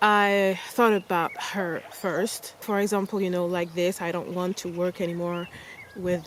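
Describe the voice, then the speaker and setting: A woman with a Parisian accent, medium pitch and fairly even intonation at a moderate pace, with noticeable background noise. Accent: French accent, close to Parisian. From France. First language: French. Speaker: travel vlogger. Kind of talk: casual storytelling vlog. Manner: casual, many fillers and restarts.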